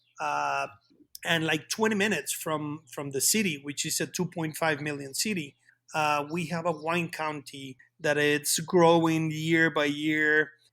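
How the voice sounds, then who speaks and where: His intonation is fairly even, and his pitch fairly high. A man is speaking with music in the background. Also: fairly slow pace. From Querétaro, central Mexico. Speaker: winemaker. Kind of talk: interview. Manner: halting, repeated words.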